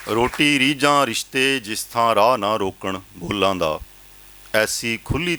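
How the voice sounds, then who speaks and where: This man has an unremarkable speaking voice with lively intonation. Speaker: poet, professor. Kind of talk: poetry reading.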